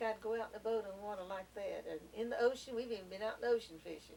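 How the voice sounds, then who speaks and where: With a Southern US accent, a woman talks at a very fast pace and a fairly high pitch, her intonation fairly even over noticeable background noise. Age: 70s. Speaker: grandmother interviewed by family. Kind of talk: family oral history interview. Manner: casual, hesitant with fillers.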